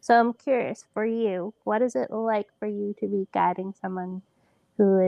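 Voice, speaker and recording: At a fairly slow pace, a woman speaks with a medium pitch and ordinary pitch variation. She has an ordinary speaking voice. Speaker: podcast host and blind snowboarder. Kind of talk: podcast interview host.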